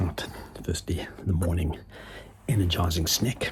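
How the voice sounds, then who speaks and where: There is noticeable background noise behind this man. He speaks fairly slowly at a very deep, low pitch. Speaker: running coach and vlogger. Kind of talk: vlog narration while running.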